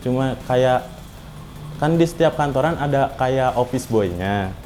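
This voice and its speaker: The man's voice has a dark, mellow tone at a medium pitch with ordinary pitch variation. He speaks at a very slow pace. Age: 20s. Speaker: cleaner and university student. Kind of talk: interview testimony. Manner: casual, hesitant with fillers.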